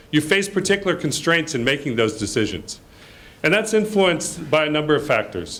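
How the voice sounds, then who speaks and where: Lively intonation at a fairly quick pace, with very even loudness. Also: man, fairly high pitch for a man. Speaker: report presenter at a development launch. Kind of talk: presentation of research findings.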